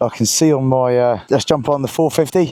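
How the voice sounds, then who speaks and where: Here is a man with a medium pitch. His tone is dark and mellow. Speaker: motorcycle vlogger. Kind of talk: vlog narration while riding. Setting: outdoors on a beach ride.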